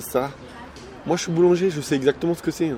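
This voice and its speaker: Music plays in the background. A man with a slight Alsatian accent speaks at a fairly quick pace. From Alsace, France. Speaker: food vlogger, baker. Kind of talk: mukbang casual chat. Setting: eating at a fast-food restaurant in Switzerland. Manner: eating while talking.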